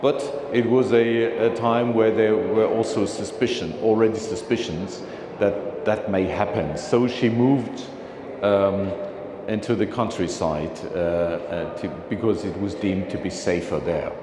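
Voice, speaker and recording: Over noticeable background noise and audible room echo, a man talks at a fairly slow pace, his medium pitch moving with ordinary variation. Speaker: philately speaker. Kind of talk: slide presentation talk. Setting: meeting room with audience. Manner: halting, many fillers.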